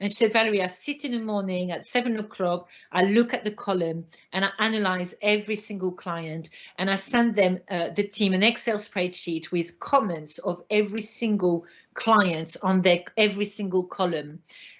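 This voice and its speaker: With a French accent, a woman speaks at a moderate pace and medium pitch, with ordinary pitch variation. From France. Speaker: retail trainer. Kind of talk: webinar presentation. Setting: online webinar. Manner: animated.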